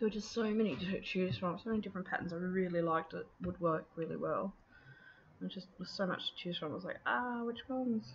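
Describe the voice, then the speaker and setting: A woman with an Australian accent, medium pitch, a somewhat breathy voice, lively intonation and a very fast pace. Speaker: scrapbooking video creator. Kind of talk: crafting process voiceover. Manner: casual, hesitant with many fillers.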